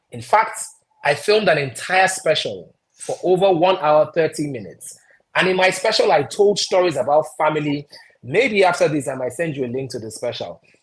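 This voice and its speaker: This man's voice is high-pitched, with a Nigerian accent, lively intonation and big swings in loudness. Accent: Nigerian accent, deliberately retained. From Nigeria, Anambra State (Onitsha). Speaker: broadcaster and stand-up comedian. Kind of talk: interview. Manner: animated.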